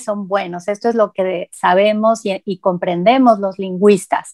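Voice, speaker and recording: At a fairly slow pace, a woman speaks with ordinary pitch variation against a quiet background. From Mexico. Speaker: linguist and Spanish teacher; Spanish teacher. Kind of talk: interview. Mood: friendly, engaged. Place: office. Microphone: earbuds.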